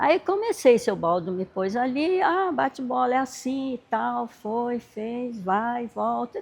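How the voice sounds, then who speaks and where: A woman's high voice with very wide pitch swings. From Brazil, São Bernardo do Campo (São Paulo). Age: 70s. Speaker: former basketball player and teacher. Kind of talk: interview.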